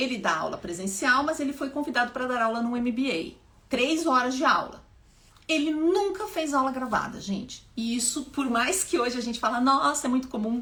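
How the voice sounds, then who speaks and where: Animated and high-pitched, a woman speaks at a moderate pace. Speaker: public speaking teacher and activist. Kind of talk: live stream talk. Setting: live stream at home.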